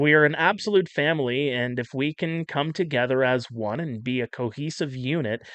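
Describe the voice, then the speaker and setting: A man with an unremarkable speaking voice, fairly high in pitch, at a moderate pace with ordinary pitch variation and hardly any pauses. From French Canada. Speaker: baseball league broadcaster. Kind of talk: casual podcast chat.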